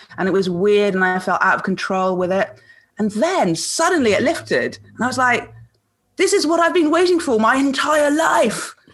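A woman's high voice with very wide pitch swings at a moderate pace. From Malaysia. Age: 50s. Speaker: spoken word poet. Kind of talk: casual interview. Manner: halting, many fillers.

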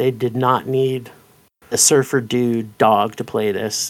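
A man speaks in a plain, everyday voice at medium pitch and a fairly slow pace, on a very clean recording with a silent background. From Canada. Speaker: film podcaster. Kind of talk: casual chat.

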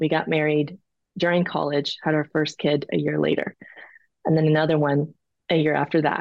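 Here is a woman with an American accent. Her pitch is very deep and low. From Peru, raised in the US. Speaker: sex and relationship coach. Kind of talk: interview.

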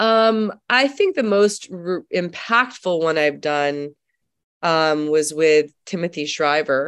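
A woman's fairly low voice with an American accent and lively intonation, at a very slow pace against a quiet background. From New York City. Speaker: actress. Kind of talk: interview. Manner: animated.

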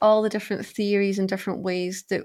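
A woman talks with a Glasgow accent. The recording is very clean, with a silent background. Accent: Scottish (Glasgow). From Scotland, Glasgow. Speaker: life coach. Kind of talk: interview.

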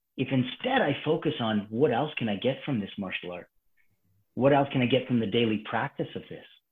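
At a fairly quick pace, a man with a Canadian accent and an ordinary speaking voice talks at a medium pitch with ordinary pitch variation. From Calgary, Alberta, Canada. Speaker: martial arts instructor. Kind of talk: casual chat.

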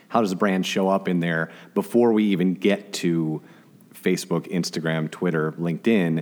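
A man with an American accent, very deep and low in pitch, fairly even intonation, moderate pace. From Chicago area, US Midwest. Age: 40s. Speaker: social media marketer, former radio DJ. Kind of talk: casual interview conversation.

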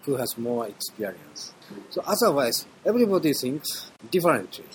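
With a strong Japanese accent and very wide pitch swings, the speaker keeps a moderate pace over noticeable background noise. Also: man. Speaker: orchestra conductor. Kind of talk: interview. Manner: halting.

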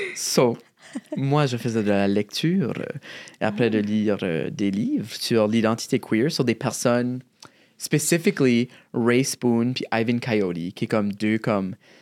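This man talks at a medium pitch in a New Brunswick Acadian accent. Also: very clean recording, silent background. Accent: Acadian French, chiac. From southeast New Brunswick, Acadian (Shediac). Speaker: drag artist and poet. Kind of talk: casual interview.

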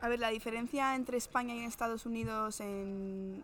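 A woman speaks at a fairly high pitch in a monotone, flat way. Noticeable noise sits in the background. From Spain, Madrid. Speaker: professional basketball player. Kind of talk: interview. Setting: on location in a sports venue.

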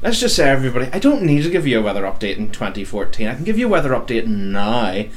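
Over noticeable background noise, a man talks at a very fast pace with hardly any pauses. His medium-pitched voice has lively intonation. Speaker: podcast co-host. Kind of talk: radio DJ patter, jokey banter. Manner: animated, jokey.

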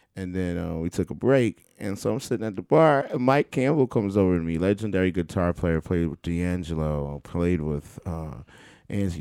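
A man with an American accent speaks at a moderate pace with a very deep, low pitch. His tone is dark and mellow. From Queens, New York. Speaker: drummer and producer. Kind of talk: casual interview chat. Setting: home studio.

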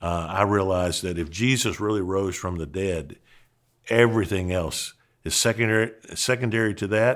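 On a very clean recording with a silent background, a man with an unremarkable speaking voice talks at a moderate pace and a fairly low pitch, with ordinary pitch variation. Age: 60s. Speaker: pastor and seminary dean. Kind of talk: podcast monologue teaching.

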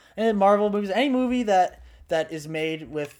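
Lively intonation marks this man's delivery at a moderate pace. He has an ordinary speaking voice. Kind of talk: casual chat.

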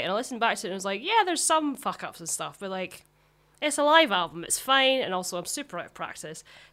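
In a Glaswegian accent, a woman talks very fast with a bright, sharp tone and big swings in loudness. The recording is very clean, with a silent background. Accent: Glaswegian Scottish. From Scotland, Glasgow south side. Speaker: musician. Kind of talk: casual chat.

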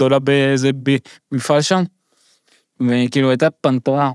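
In a very clean, dry and close recording with no echo and a silent background, a man speaks at a fairly quick pace and medium pitch with monotone, flat intonation. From immigrant to Israel. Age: 30s. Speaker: stand-up comedian living with Huntington's disease. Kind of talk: podcast interview, personal story.

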